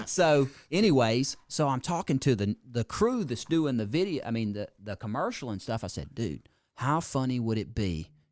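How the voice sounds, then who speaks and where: In a very clean recording with a silent background, a man with a Mississippi accent speaks at a medium pitch and a moderate pace with lively intonation. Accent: Southern Mississippi. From US South, Mississippi (George County). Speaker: car dealership owner. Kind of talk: casual chat. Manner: animated.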